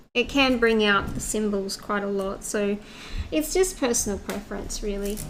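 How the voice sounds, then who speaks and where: A woman at a fairly high pitch and moderate pace, with audible room echo. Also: ordinary pitch variation. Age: 30s. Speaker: craft live streamer. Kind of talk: casual chat. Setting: studio.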